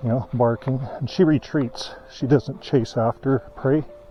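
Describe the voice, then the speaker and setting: Over music in the background, a man talks very slowly at a medium pitch with ordinary pitch variation. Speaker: ex-Jehovah's Witness channel host. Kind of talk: casual talk to camera on a walk. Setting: outdoors.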